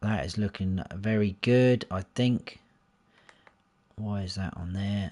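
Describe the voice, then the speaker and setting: With a southern English accent, a man in a relaxed tone speaks fairly low at a very slow pace with fairly even intonation and long, frequent pauses. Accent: southern English, taken for a Londoner. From southern England, Hampshire. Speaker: gaming livestreamer. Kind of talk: casual live gameplay commentary. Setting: livestream. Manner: relaxed, chatty.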